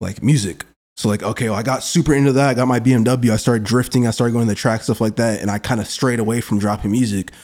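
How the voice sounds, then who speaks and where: A man's medium-pitched voice with an American accent, very fast pace, hardly any pauses and fairly even intonation, on a very clean recording with a silent background. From Kansas City, US Midwest. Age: 20s. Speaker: rapper. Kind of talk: casual interview.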